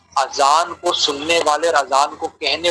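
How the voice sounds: The voice has a bright, sharp tone with a slightly husky edge, fairly even intonation and a fairly slow pace. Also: man.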